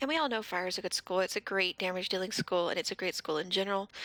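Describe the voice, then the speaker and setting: A woman with a bright, sharp tone speaks at medium pitch with ordinary pitch variation, in a dry, close recording with no echo that is very clean, with a silent background. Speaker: gaming video creator. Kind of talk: casual talk to camera.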